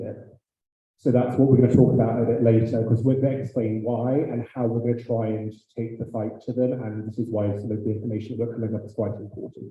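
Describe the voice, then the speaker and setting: A man speaks at a medium pitch in a monotone, flat delivery. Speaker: graduate student council president. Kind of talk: meeting chairing.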